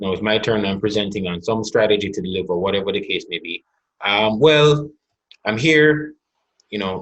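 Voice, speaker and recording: A man speaks with lively intonation and a Jamaican accent. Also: fairly low pitch for a man, moderate pace. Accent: Jamaican, evident. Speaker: corporate executive and business owner. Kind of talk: webinar conversation.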